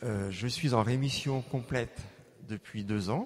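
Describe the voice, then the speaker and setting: Moving at a very slow pace, a man with medium pitch talks with ordinary pitch variation. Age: 60s. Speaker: plastic surgeon giving healing testimony. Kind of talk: testimony. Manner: halting, many hesitations.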